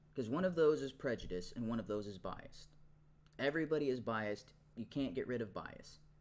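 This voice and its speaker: At a fairly quick pace, a man of medium pitch speaks with lively intonation. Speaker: debate show host. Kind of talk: debate.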